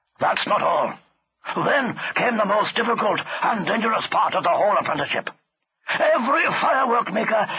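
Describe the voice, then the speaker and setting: A man does a gruff put-on character voice at an extremely high pitch, talking fairly quickly with long, frequent pauses. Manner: gruff, scolding, conspiratorial.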